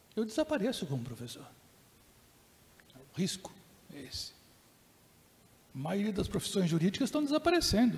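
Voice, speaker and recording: A man speaks at a moderate pace in a high pitch, with very wide pitch swings and long, frequent pauses. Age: 60s. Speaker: professor and keynote speaker. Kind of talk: lecture.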